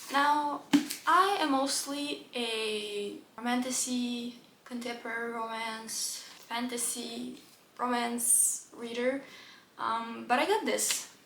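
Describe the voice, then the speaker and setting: At a very slow pace, a woman speaks with a high pitch and ordinary pitch variation, amid noticeable background noise and audible room echo. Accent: non-native. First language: not English. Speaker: book youtuber. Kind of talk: casual book haul chat. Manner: animated.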